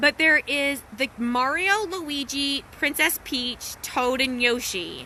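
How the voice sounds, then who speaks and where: A raised, projected voice moves at a very slow pace with hardly any pauses and ordinary pitch variation. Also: woman, high pitch for a woman. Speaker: wellness coach and social media host. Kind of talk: casual storytelling livestream. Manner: animated, laughing; lowered voice briefly.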